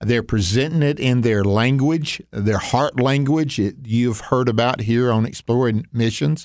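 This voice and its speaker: A man with an unremarkable speaking voice, medium pitch, ordinary pitch variation, very even loudness, a fairly slow pace and hardly any pauses, in a very clean recording with a silent background. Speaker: radio host. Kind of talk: radio interview.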